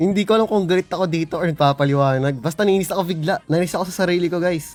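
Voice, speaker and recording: Very fast speech from a man, with ordinary pitch variation and a dry, close sound with no echo. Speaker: gaming streamer. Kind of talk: gameplay reaction commentary. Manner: sounds irritated by tone.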